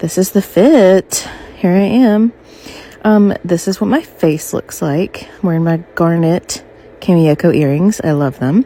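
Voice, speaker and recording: Quiet and breathy, a woman speaks at a fairly slow pace and fairly low pitch with lively intonation over noticeable background noise. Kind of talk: casual outfit-of-the-day voiceover. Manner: breathy, hushed under covers.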